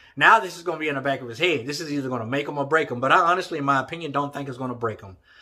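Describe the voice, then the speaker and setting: A man with a Southern US accent, an animated, bright, sharp tone, and a fairly high pitch on a very clean recording with a silent background. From Texas. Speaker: boxing commentator YouTuber. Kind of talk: casual opinion vlog.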